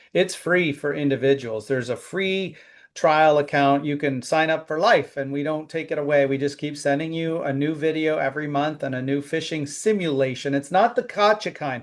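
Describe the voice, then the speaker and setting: A plain, everyday voice belongs to this man, fairly high in pitch with ordinary pitch variation. He talks at a moderate pace with hardly any pauses, over a quiet background. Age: 50s. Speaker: cybersecurity company founder. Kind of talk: interview.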